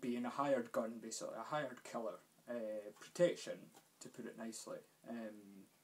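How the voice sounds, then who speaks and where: A man speaks with a Scottish accent and fairly even intonation. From Scotland. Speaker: gaming youtuber. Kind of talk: casual game review vlog. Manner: hesitant, many fillers.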